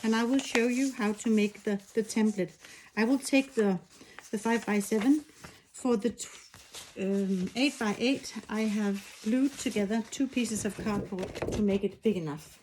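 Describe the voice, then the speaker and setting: At a moderate pace, a woman with a non-native accent speaks in a fairly high voice with ordinary pitch variation. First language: not English. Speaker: machine embroidery designer. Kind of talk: tutorial. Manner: halting, with frequent fillers.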